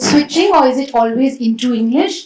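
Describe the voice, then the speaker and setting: A woman's high-pitched voice at a moderate pace, with ordinary pitch variation, against noticeable background noise. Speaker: poet and translator, session moderator. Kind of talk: panel discussion.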